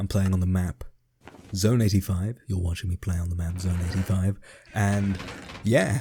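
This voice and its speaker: A man with a very deep, low voice and an English accent, at a moderate pace with long, frequent pauses and fairly even intonation. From England. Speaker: gaming YouTuber. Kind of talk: casual gameplay commentary. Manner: hesitant, many fillers.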